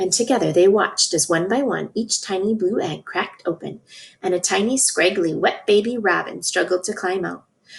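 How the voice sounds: The clip offers a natural reading voice with ordinary pitch variation.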